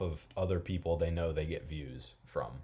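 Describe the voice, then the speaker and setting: A man's somewhat breathy voice. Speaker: podcast host. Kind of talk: casual chat.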